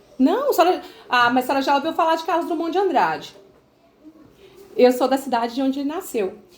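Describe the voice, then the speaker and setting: A woman with a Minas Gerais accent talks at a very fast pace and a high pitch, with lively intonation. Long, frequent pauses break her speech, and background noise is noticeable. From Minas Gerais, Brazil (Itabira). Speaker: sales representative for a business mentorship. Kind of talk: sales pitch on a phone call. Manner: hesitant, many fillers.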